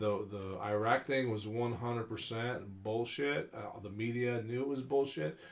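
With an American accent, a man at a medium pitch speaks at a very slow pace with hardly any pauses and ordinary pitch variation. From California. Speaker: UFO enthusiast. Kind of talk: casual chat.

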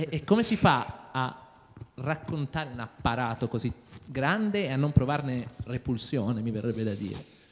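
A man speaks at a moderate pace. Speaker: audience member asking questions; audience member. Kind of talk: audience question. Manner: halting. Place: stage. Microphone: handheld.

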